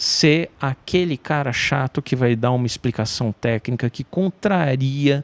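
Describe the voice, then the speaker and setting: A man's ordinary speaking voice, medium in pitch and fairly slow in pace, with a dry, close sound and no echo. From Brazil, São Paulo. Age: 40s. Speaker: journalist. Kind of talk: interview conversation.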